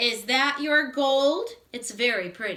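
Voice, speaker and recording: Woman's put-on character voice, high pitch, fairly slow pace. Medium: read story. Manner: bubbly, talkative.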